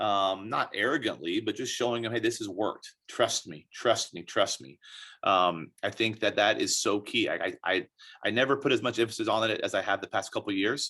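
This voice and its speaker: Someone with an American accent speaks at a fairly quick pace over a quiet background. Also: man. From Texas, Dallas. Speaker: college soccer coach. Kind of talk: interview. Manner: loud, animated.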